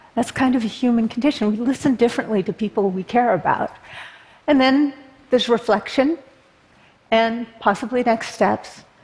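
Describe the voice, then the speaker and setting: Against noticeable background noise, a woman with an American accent and a fairly high pitch talks at a moderate pace with ordinary pitch variation and long, frequent pauses. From Berkeley, California. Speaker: political activist. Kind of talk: talk to an audience.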